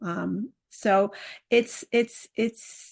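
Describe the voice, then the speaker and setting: Speaking in a New York accent, a woman uses ordinary pitch variation against a quiet background. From New York City. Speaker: parenting coach. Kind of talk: interview.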